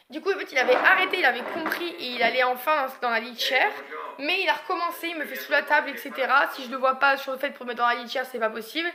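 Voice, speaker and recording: Over noticeable background noise, a woman speaks at a very fast pace in a raised, projected voice. Her pitch is high, with ordinary pitch variation and big swings in loudness. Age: 20s. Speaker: vlogger, young mother. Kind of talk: casual vlog monologue. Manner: hesitant, many fillers.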